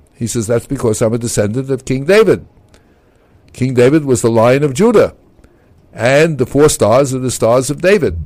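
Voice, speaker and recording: With lively intonation and a medium pitch, a man talks at a moderate pace broken by long, frequent pauses. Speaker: author and physician, former military officer. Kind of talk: radio interview storytelling. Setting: radio studio. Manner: animated; talkative.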